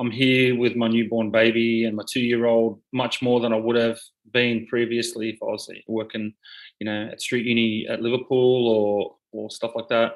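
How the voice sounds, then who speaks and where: A man in an Australian accent speaks at a moderate pace, his medium-pitched voice flat and monotone. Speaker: hip hop artist and pastor. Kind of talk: casual interview.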